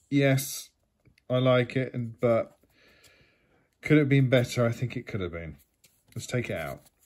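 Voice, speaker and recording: Speaking in a British accent at a medium pitch, a man shows ordinary pitch variation and big swings in loudness against a quiet background. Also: moderate pace. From UK. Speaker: YouTube collectibles unboxer. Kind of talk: casual unboxing talk to camera. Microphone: phone near.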